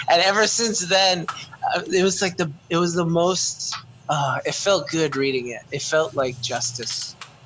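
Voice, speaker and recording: A man talks at a fairly slow pace in a high pitch with ordinary pitch variation. Noticeable background noise runs behind him. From Canada. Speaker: podcast co-host. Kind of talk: casual chat.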